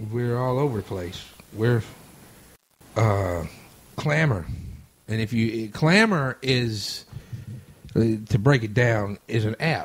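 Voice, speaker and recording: Speaking at a very slow pace with long, frequent pauses, a man with a Louisiana accent has a medium pitch, ordinary pitch variation and a somewhat breathy voice. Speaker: radio host. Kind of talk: casual chat. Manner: stuttering.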